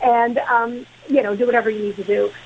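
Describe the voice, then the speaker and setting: Over noticeable background noise, a woman with a high pitch talks at a moderate pace with fairly even intonation. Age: 70s. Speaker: caller, former security worker. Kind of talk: radio call-in. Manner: halting, repeats words.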